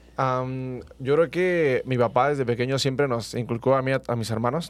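Keeping his intonation fairly even, a man with a medium pitch speaks at a moderate pace. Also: hardly any pauses. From Mexico, Michoacán. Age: 20s. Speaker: track athlete. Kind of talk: interview. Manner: halting.

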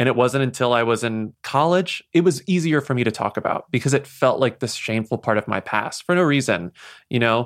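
Recorded very cleanly against a silent background, a man talks at a fairly quick pace. His pitch is medium and varies in an ordinary way. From Texas, small town near San Antonio. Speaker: podcast host and novelist. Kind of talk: interview.

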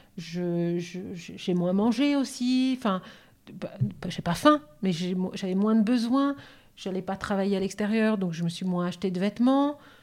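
Someone speaks at a very slow pace on a very clean recording with a silent background. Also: woman. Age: 50s. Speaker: naturopath, cancer survivor. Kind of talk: casual chat.

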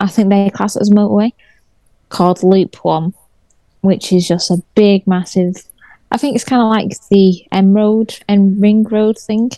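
Recorded dry and close with no echo, a woman speaks at a fairly slow pace in a medium-pitched, dark, mellow tone with fairly even intonation. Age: 30s. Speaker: car content creator. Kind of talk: casual chat.

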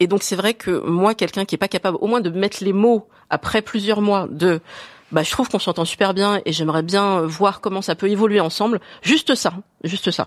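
An unremarkable speaking voice moves at a moderate pace with ordinary pitch variation. The recording is very clean, with a silent background and a dry, close sound with no echo. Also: woman. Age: 40s. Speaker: woman asking a dating question. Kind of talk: casual chat.

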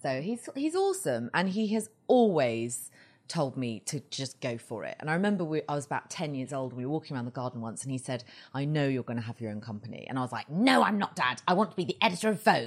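Over a quiet background, a woman talks at a very fast pace in a very deep, low voice with a southern English accent and very wide pitch swings. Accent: southern English (British). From England, Surrey village near London. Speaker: fashion blogger and TV correspondent. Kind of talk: interview.

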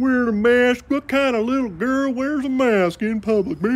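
Using a put-on character voice pitched extremely high, a man speaks at a moderate pace with ordinary pitch variation. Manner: mocking, sneering.

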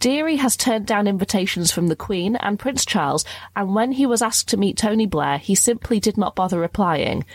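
Speaking at a fairly quick pace, a woman with a British accent uses lively intonation at a medium pitch. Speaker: podcast host, also radio presenter. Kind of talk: casual chat, comedy podcast.

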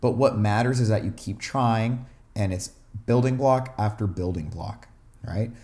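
Speaking at a fairly slow pace, a man with a medium pitch and ordinary pitch variation sounds somewhat breathy. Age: 20s. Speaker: self-help podcast host. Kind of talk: casual monologue. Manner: conversational with frequent fillers.

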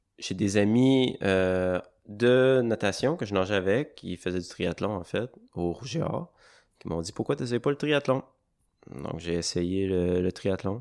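Speaking in a Quebec accent at a fairly slow pace, a man with a fairly low pitch and lively intonation takes long, frequent pauses in a very clean recording with a silent background. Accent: Québécois French. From Quebec, Charlevoix (Baie-Saint-Paul). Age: 20s. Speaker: bus driver and trail runner. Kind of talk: interview.

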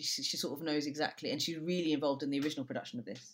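In a London accent, a woman talks with a very deep, low pitch and ordinary pitch variation. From London (Brixton), Jamaican family. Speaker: theatre director. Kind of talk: casual interview chat.

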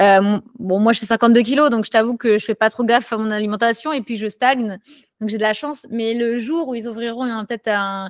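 A woman's ordinary speaking voice, fairly high in pitch, at a fairly quick pace with fairly even intonation, dry and close with no echo, on a very clean recording with a silent background. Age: 20s. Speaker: street workout athlete. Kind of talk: casual chat.

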